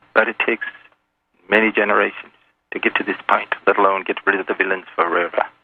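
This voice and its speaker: A man's fairly quick speech. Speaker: anonymous caller. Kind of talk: radio interview. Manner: hard to understand at times.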